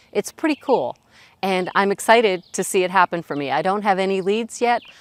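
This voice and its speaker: Ordinary pitch variation at a moderate pace, on a very clean recording with a silent background. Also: woman, dry, close sound with no echo. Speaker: online business vlogger. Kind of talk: casual vlog update. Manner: frequent pauses.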